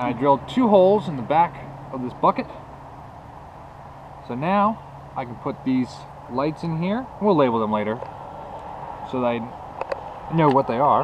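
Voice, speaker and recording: With noticeable background noise behind him, a man talks at a moderate pace and takes long, frequent pauses. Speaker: motorcycle builder, DIY mechanic. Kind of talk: casual workshop talk to camera.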